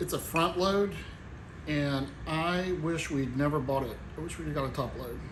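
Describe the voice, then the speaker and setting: A somewhat breathy man with a Tennessee accent, fairly high-pitched, ordinary pitch variation, a fairly slow pace and audible room echo. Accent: Tennessee twang, strong on some words. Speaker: home cooking channel host. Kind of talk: cooking tutorial. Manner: casual, folksy.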